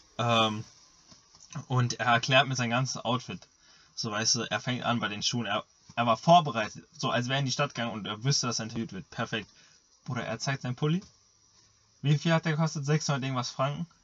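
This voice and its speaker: A man speaks at a fairly quick pace, with long, frequent pauses. His pitch is medium, with ordinary variation. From Germany. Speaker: podcast co-host and middle-distance runner. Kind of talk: casual chat.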